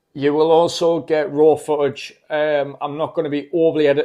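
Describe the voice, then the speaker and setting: A man speaks in a Geordie accent, his voice fairly high with a dark, mellow tone. The recording is very clean, with a silent background. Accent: Geordie (Newcastle). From northern England, Newcastle. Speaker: travel vlogger. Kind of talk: casual vlog talk to camera. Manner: hesitant, many fillers.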